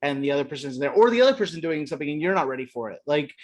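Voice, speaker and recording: A man speaks against a quiet background. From US South, northern Kentucky. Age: 40s. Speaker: film director. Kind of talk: interview.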